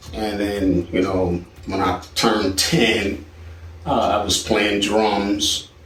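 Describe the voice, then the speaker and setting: Speaking with an American accent, a man talks at a very slow pace, fairly low in pitch, with fairly even intonation. Noticeable background noise and audible room echo are present. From Philadelphia, US. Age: 60s. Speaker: songwriter and film composer. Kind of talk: personal life story. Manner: relaxed, with many filler words.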